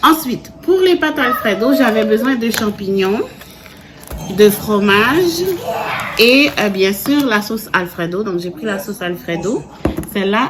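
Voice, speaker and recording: A woman at a very slow pace with long, frequent pauses, over noticeable background noise. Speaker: family vlogger. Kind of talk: casual vlog talk. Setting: at home at night. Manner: whispering.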